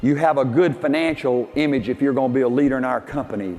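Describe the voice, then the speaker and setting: A man with a Southern US accent, amid noticeable background noise. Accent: Southern US (Georgia). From US South. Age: 70s. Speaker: business leader and motivational speaker. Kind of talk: motivational speech. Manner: animated.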